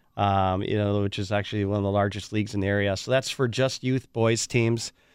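A man with an Upper Midwest US accent speaks at a fairly low pitch. His intonation is monotone and flat against a quiet background. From Wisconsin (Waukesha). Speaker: youth sports event director. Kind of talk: radio interview.

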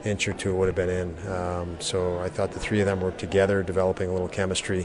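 A man's very deep, low voice at a fairly quick pace, monotone and flat, with noticeable background noise. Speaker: hockey coach. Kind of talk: postgame press conference remarks.

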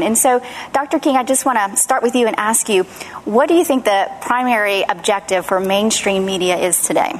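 Against noticeable background noise, a woman with a fairly high voice speaks at a fairly quick pace with lively intonation. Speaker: talk show host. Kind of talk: panel discussion. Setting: studio with audience.

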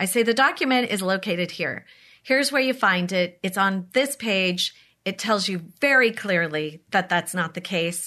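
Over a quiet background, a woman with an American accent speaks at a moderate pace in a medium pitch, her tone bright and sharp and her intonation lively. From San Diego County, California. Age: 50s. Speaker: mayor. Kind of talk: interview.

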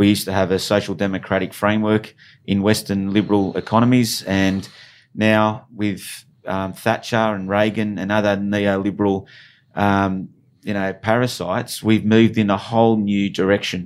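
A man's fairly low, monotone, flat voice with an Australian accent at a moderate pace, on a very clean recording with a silent background. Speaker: union branch secretary. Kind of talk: interview. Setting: studio.

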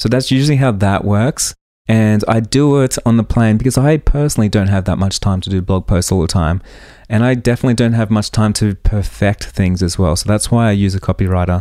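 A man with an Australian accent, fairly low in pitch and dark and mellow in tone, at a fairly quick pace with very even loudness and ordinary pitch variation, on a very clean recording with a silent background. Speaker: podcast host and wedding photographer. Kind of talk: solo podcast tutorial. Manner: casual, conversational.

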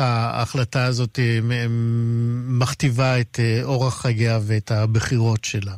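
The speaker is a man whose voice sits at a medium pitch.

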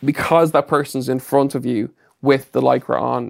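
A man speaks with an Irish accent at a fairly high pitch. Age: 30s. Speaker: fitness expert and personal trainer. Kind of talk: casual interview. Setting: studio.

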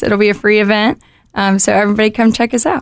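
Here a woman uses an ordinary speaking voice with fairly even intonation. Her pitch is fairly high. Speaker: student activist field representative. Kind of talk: casual interview. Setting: studio.

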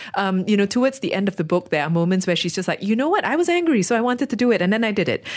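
A woman talks at a very fast pace with a medium pitch, very wide pitch swings and very even loudness. Noticeable background noise is present. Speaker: radio host. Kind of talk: book club discussion.

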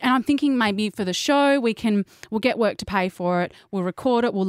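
This is an unforced reading voice. It reads the words through.

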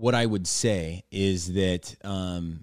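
In a very clean recording with a silent background and a dry, close sound with no echo, a man with an American accent speaks at a fairly low pitch with fairly even intonation. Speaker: painting business owner and TikTok creator. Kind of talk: casual chat.

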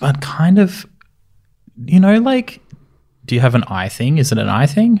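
A man speaks in a somewhat breathy, dark, mellow tone at a fairly high pitch. His pitch swings very widely at a moderate pace, with long, frequent pauses. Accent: Australian. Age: 30s. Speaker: podcast co-host. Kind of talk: casual chat.

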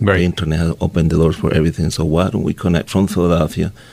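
A man with a very deep, low pitch and ordinary pitch variation speaks over noticeable background noise. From South America. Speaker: news publisher and entrepreneur. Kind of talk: interview.

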